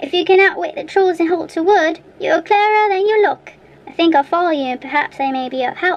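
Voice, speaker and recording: In a put-on character voice, a woman speaks at a very fast pace with extremely high pitch. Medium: read story. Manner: grunting, gruff.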